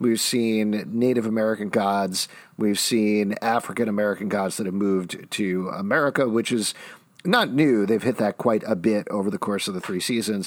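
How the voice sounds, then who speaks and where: The recording is very clean, with a silent background. A man with a plain, everyday voice talks at a moderate pace, fairly low in pitch and with fairly even intonation. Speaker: podcast host. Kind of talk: casual chat.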